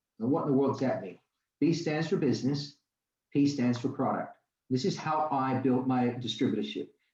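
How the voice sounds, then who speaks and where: A man's somewhat breathy, fairly high voice at a fairly quick pace, with ordinary pitch variation. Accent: American. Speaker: company founder giving distributor training. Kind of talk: training class. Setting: video call with live audience. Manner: animated, conversational.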